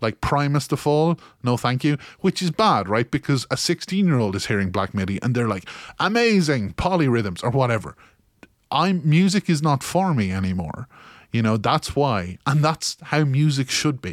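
A man speaks with a Kilkenny accent at a fairly high pitch, his voice swinging very widely in pitch, in a dry, close recording with no echo that is very clean against a silent background. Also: moderate pace. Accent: Irish, Kilkenny. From Ireland. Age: 30s. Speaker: podcaster. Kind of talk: casual monologue, part comedic.

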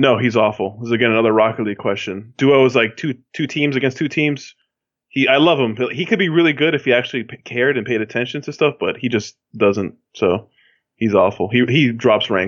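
A man talks at a fairly quick pace in an ordinary speaking voice, medium in pitch, with ordinary pitch variation. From Miami, Florida (Cuban-American family). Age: 20s. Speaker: podcast guest, fantasy football player. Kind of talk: casual chat.

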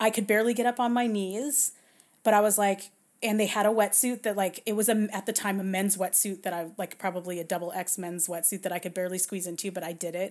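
Very clean and silent in the background, this recording features a woman with an American accent at a medium pitch. She talks at a very fast pace with fairly even intonation. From Southern California. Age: 40s. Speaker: bioethicist. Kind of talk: casual interview.

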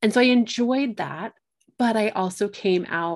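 A woman speaks at a moderate pace in an unremarkable speaking voice with ordinary pitch variation, on a very clean recording with a silent background. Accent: American. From Colorado. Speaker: astrologer and medium. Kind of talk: casual chat.

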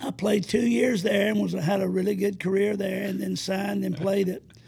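There is noticeable background noise as a man speaks in an Alabama accent. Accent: US Southern (Alabama). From north Alabama (Madison County). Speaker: retired basketball coach. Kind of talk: interview, faith testimony.

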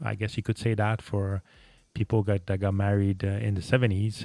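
With a French Canadian accent, a man speaks at a fairly low pitch on a very clean recording over a silent background. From Quebec, Montreal. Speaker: podcast host. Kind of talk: solo monologue podcast. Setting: home studio, microphone. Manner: halting, many fillers.

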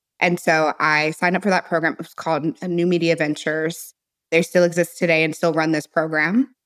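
A woman with an American accent and an unremarkable speaking voice, fairly low in pitch with fairly even intonation, at a fairly quick pace on a very clean recording with a silent background. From US Midwest, St. Louis, Missouri. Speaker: entrepreneur. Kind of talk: interview.

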